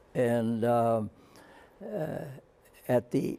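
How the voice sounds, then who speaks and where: A man speaks with a Canadian accent. His tone is dark and mellow. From Canada. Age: 80s+. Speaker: war veteran. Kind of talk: interview answer. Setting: studio.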